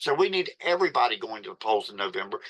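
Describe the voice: Fast, fairly low-pitched speech from a man, with a fairly bright tone and big pitch swings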